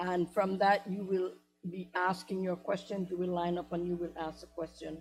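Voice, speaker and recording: A woman speaks at a medium pitch. Music plays in the background. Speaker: university trustee and town hall moderator. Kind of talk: town hall moderation and introduction. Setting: auditorium with audience. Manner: formal.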